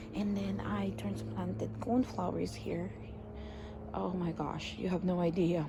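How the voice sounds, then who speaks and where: A woman speaks at a fairly slow pace. Room echo is audible, and background noise is noticeable. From Philippines. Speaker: gardening vlogger. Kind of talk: casual garden tour. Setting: outdoors in backyard. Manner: hesitant, many fillers; quiet.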